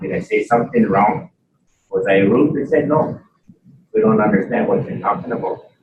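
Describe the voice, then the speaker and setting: At a moderate pace, a man speaks with a Canadian accent. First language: Mohawk. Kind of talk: conference talk. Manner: halting.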